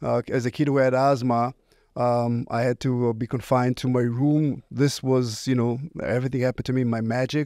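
In an Israeli accent, a man talks at a moderate pace and medium pitch with little pitch movement and a slightly mellow tone, on a very clean recording with a silent background.

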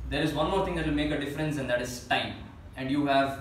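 Male speech in audible room echo, light background noise underneath. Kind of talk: meeting announcement. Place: meeting room. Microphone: camera far.

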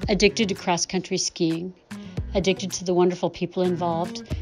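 Over music in the background, a woman talks at a fairly quick pace with a fairly low pitch. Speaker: sighted ski guide. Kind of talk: personal testimonial.

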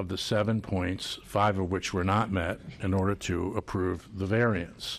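A man speaks at a fairly slow pace in a fairly low pitch. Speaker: zoning commission member. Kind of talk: deliberation at public hearing. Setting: public hearing room. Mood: firm, displeased. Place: hall. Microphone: podium.

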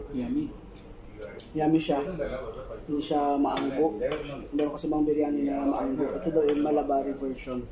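There is noticeable background noise. Over it, a man talks at a moderate pace. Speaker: food vlogger. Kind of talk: casual vlog chat. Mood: cheerful, amused. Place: cafe. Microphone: phone near.

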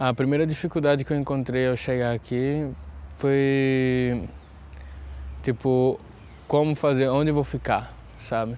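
A man speaks at a fairly slow pace with long, frequent pauses and a dark, mellow tone. His intonation is monotone and flat, his loudness very even, and the sound dry with no echo. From Brazil, Pernambuco (Pankararu village); Pernambuco. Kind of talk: interview testimony. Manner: hesitant, with fillers. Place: garden. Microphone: lapel.

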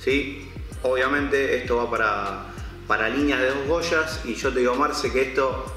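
Faint music plays behind a man talking at a moderate pace, with audible room echo. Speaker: presenter. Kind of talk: product presentation. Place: shop.

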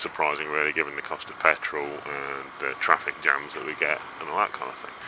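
A man is heard with noticeable background noise. The sound is dry, with no echo. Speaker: motorbike rider vlogger. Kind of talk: casual vlog chat. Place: motorbike. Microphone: helmet.

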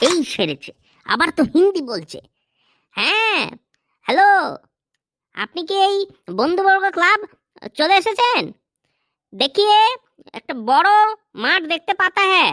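A woman uses a cartoonish, squeaky character voice at an extremely high pitch, speaking at a fairly slow pace with lively intonation. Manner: flustered, impatient.

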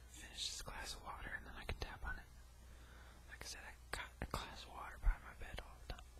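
A man talks at a moderate pace, stopping often for long pauses. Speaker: ASMR creator. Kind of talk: ASMR mic test, casual talk to camera. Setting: home recording with a new microphone. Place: home room. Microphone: studio mic.

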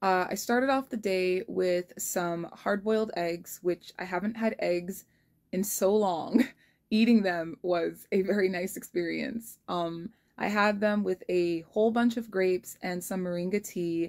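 A woman speaks fairly slowly, her pitch varying in an ordinary way, with a quiet background behind her. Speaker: vlogger. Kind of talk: casual vlog chat. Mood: relaxed, occasional laughs. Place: home room. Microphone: phone near.

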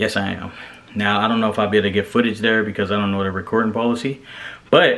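A man talking at a very fast pace with fairly even intonation. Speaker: flight attendant vlogger. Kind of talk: casual vlog chat. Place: home room. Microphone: phone near.

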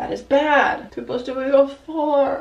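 The speech goes at a fairly slow pace. Audible room echo and light background noise are present. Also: woman. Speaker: vlogger. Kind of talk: casual vlog chat. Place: home room. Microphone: camera far.

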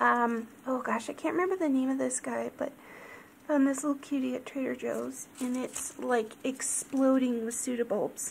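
Soft-spoken and barely pausing, a woman talks at a moderate pace over light background noise. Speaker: orchid grower. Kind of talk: casual talk to camera. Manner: extra soft-spoken. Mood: cheerful, affectionate. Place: home room. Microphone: phone near.

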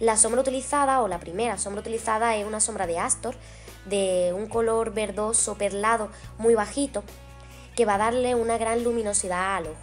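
A woman at a fairly quick pace, fairly even intonation, faint music in the background. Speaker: makeup vlogger. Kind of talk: tutorial. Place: home room. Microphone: camera far.

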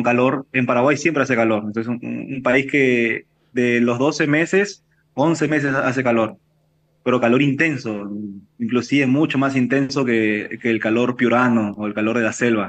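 Behind a man's voice, the background is quiet. He speaks at a moderate pace with fairly even intonation. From Peru. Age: 30s. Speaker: chef and restaurant owner. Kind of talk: interview. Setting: video call. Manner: halting. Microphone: video call.

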